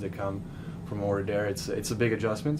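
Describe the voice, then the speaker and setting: Fairly low male voice in a Serbian accent, with audible room echo and noticeable background noise. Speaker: college basketball player. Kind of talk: press interview. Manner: halting.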